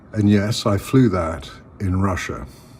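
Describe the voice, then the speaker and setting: A man with an English accent, fairly low in pitch, with ordinary pitch variation and a fairly slow pace. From England. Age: 60s. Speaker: political commentator. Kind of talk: personal video monologue. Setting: at home.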